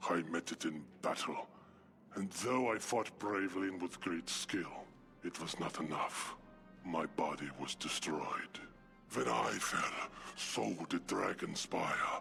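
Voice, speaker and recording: A man puts on a character voice with a very deep, low pitch. Clear music sounds in the background. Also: fairly slow pace. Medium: machinima. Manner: solemn, formal.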